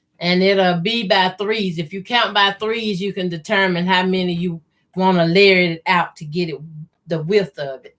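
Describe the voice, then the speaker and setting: A woman with a slight Southern US accent and fairly even intonation. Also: medium pitch for a woman, moderate pace. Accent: slight southern country. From US South, Mississippi. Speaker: quilting youtuber. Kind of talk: live sewing tutorial chat. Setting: livestream. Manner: casual, conversational.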